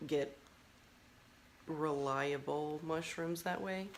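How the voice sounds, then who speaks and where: A soft-spoken woman with a very deep, low pitch and fairly even intonation. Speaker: mushroom farmer. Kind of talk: casual chat.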